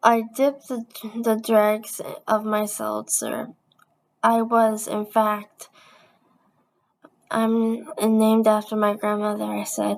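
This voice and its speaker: With a fairly high pitch, a woman talks in a flat, monotone way. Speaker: YouTuber reading a book aloud. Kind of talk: reading aloud. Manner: halting, stumbles on words.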